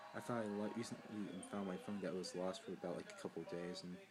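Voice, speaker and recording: Speaking at a very fast pace, a man with a fairly low pitch and ordinary pitch variation is heard over noticeable background noise. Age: 20s. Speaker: college student vlogger. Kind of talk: personal vlog introduction. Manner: halting, many fillers and restarts; awkward.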